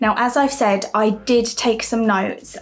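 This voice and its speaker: With a British accent, a woman speaks at a fairly high pitch and a fairly slow pace, her intonation fairly even against noticeable background noise. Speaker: vlogger. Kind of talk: vlog monologue.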